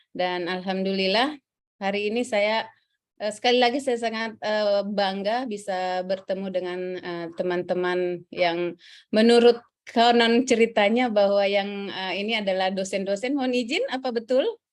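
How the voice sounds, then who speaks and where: Against a quiet background, a woman with a Central Sulawesi accent speaks at medium pitch. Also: ordinary pitch variation, moderate pace. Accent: Central Sulawesi Indonesian. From South Sulawesi, Indonesia (Bone). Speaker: civil service trainer. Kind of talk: lecture. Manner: halting, many fillers.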